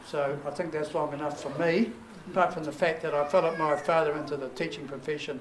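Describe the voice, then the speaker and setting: Someone with a New Zealand accent speaks at a very fast pace with fairly even intonation, amid noticeable background noise and audible room echo. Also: man, fairly high pitch for a man. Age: 70s. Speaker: family reunion organiser, retired teacher. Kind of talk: welcome speech to family gathering.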